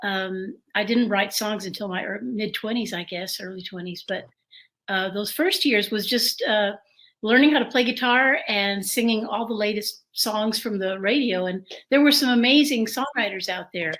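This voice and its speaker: An American woman talks at a moderate pace. Her voice is fairly high and shows ordinary pitch variation. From San Antonio, Texas. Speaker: singer-songwriter. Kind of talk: interview. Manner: halting.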